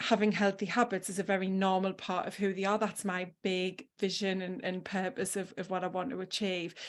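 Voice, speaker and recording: A woman speaks at a moderate pace in a northeast English accent. The recording is very clean, with a silent background. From northeast England. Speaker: health habits coach. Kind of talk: podcast interview.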